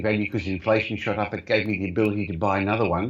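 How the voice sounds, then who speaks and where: With an Australian accent, a man is talking. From Australia, Melbourne, migrant family. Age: 60s. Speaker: property investor and company executive. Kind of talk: interview. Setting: video call.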